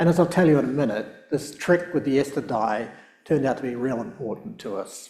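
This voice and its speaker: With a southern New Zealand accent, a man talks at a fairly quick pace, his fairly high pitch carrying lively intonation. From New Zealand, South Island. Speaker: professor and research scientist. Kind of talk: public lecture. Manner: hesitant, many fillers.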